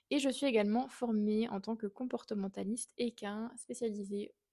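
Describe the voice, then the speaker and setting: Spoken with a Swiss accent, this voice has a dark, mellow tone, fairly even intonation and a fairly slow pace. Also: woman. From Switzerland, canton of Fribourg. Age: 20s. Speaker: equine behaviourist and podcast host. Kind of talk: podcast monologue.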